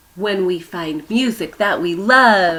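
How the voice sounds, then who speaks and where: A woman puts on a character voice at a medium pitch. Her pace is fairly slow. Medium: read story.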